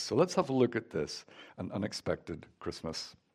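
A man talks at a moderate pace in a Northern Irish accent. The recording is very clean, with a silent background. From Northern Ireland. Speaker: guest preacher. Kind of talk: sermon. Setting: church.

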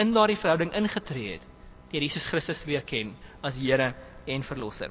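Noticeable background noise behind a man, his pitch swinging very widely. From southern Free State, South Africa. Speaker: preacher. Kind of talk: sermon.

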